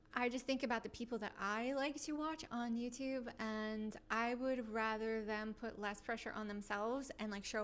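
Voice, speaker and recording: With an American accent, a woman speaks at a moderate pace with fairly even intonation. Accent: slight New York, comes out at times. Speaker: YouTuber. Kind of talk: casual vlog chat. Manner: relaxed, rambling with fillers.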